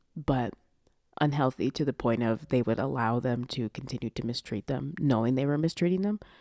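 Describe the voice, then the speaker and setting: Vocal fry runs through a woman's dark, mellow voice, very deep and low in pitch. The recording is very clean, with a silent background and a dry, close sound with no echo. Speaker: podcast host and audio roleplay creator. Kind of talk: casual podcast monologue.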